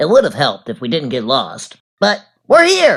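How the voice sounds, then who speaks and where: A man's cartoonish character voice at a moderate pace. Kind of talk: comedy cartoon character dialogue.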